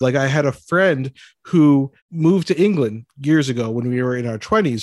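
A man talks at a moderate pace with a medium pitch and ordinary pitch variation. The sound is dry and close, with no echo. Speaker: podcast host and doctor. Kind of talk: casual comedic podcast banter. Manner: animated, excitable.

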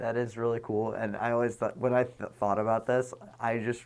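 A plain, everyday voice at a fairly quick pace. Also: man. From Boston. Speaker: musician. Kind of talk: casual chat. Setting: dye studio.

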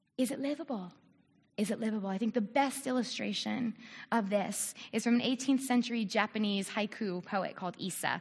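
With a fairly high, somewhat breathy voice, a woman speaks at a fairly quick pace with ordinary pitch variation. The recording is very clean, with a silent background. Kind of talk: church talk. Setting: church with audience.

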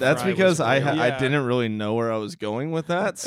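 This is an unremarkable speaking voice with lively intonation. The pace is moderate. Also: man, medium pitch for a man. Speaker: podcast co-host.

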